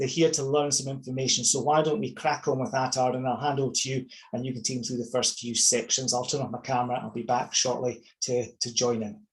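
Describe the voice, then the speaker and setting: A man with a Scottish accent at a very fast pace, medium pitch and fairly even intonation. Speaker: property investor and coach. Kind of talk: webinar presentation. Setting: online webinar.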